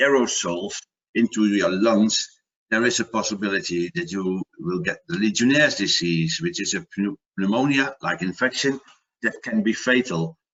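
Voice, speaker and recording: A man's medium-pitched voice with a Dutch accent and ordinary pitch variation. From Netherlands. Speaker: product manager and water safety expert. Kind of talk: webinar presentation. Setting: online webinar. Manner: halting, with repetitions and fillers.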